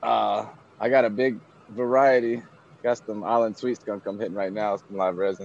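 With a plain, everyday voice, a man speaks at a moderate pace and fairly low pitch, his intonation fairly even. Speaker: cannabis enthusiast. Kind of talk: casual chat. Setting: video call.

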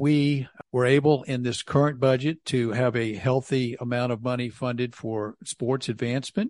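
Against a quiet background, a man speaks in a normal speaking voice. His pace is fairly slow, his pitch medium and his intonation fairly even. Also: dry, close sound with no echo. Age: 60s. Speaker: city council member. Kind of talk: casual interview.

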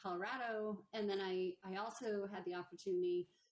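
Speaking very fast, a woman keeps a monotone, flat intonation at a medium pitch. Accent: American. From western Pennsylvania, near Pittsburgh. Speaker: logistics executive. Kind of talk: interview. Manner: halting, repeats words.

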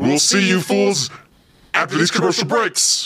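A man puts on a raspy character voice, pitched high and delivered at a fairly quick pace. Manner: spooky, theatrical.

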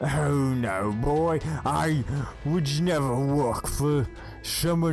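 Clear music plays in the background. Over it, a man uses a put-on character voice at a medium pitch. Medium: actual play. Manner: laughing, condescending.

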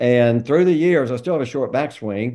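Lively intonation marks this man's speech, in a Southern US accent. His tone is dark and mellow. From North Carolina, Greensboro. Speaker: golf traveler. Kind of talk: casual chat.

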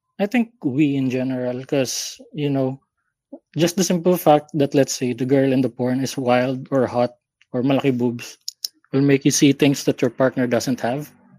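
The voice has a dark, mellow tone and fairly even intonation, moving at a moderate pace in a dry, close sound with no echo. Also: man, medium pitch for a man. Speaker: caller. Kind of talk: casual chat.

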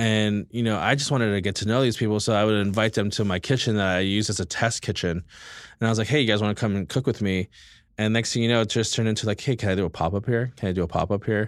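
With a Californian accent, a man talks at a very fast pace in a fairly low voice of very even loudness, on a very clean recording with a silent background. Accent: Californian American. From US West Coast, East Los Angeles. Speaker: chef. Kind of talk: casual chat.

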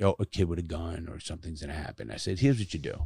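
A man with a very deep, low, somewhat breathy voice is heard in a very clean recording with a silent background and a dry, close sound with no echo. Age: 60s. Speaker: ex-convict turned podcaster and youth speaker. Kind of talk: casual chat. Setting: studio. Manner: profane, blunt.

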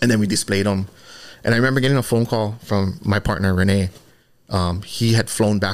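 Over a very clean recording with a silent background, a man with a Hawaiian accent speaks very fast at a fairly low pitch. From Hawaii, Oahu windward side. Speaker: fashion designer and brand co-founder. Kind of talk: casual interview.

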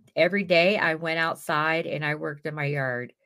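Bright, sharp tone on a very clean recording with a silent background. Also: woman. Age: 50s. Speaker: mental health podcast host. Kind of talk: casual solo monologue. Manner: animated.

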